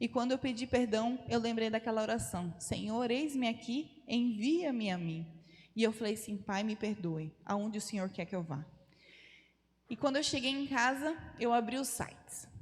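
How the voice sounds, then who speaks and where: A woman with fairly high pitch speaks at a moderate pace, somewhat breathy. Her intonation is lively. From Brazil, Rondônia (North). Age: 30s. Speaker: missionary. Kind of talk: testimony. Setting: church.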